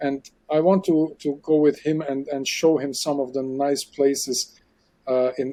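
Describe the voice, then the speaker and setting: A man's fairly high voice with a German accent, a dark, mellow tone and fairly even intonation. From Germany. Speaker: aquarium expert and underwater filmmaker. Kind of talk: casual interview chat. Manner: halting, repeats words.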